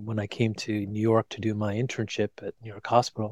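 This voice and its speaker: A man's medium-pitched voice at a moderate pace, dry and close with no echo, on a very clean recording with a silent background. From US, Indian immigrant family. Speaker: cardiologist and author. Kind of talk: casual interview.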